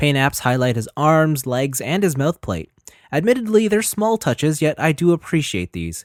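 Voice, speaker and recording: On a very clean recording with a silent background, a man with a fairly high pitch speaks with very wide pitch swings. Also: dry, close sound with no echo. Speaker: toy reviewer. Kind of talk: scripted review narration. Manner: fast.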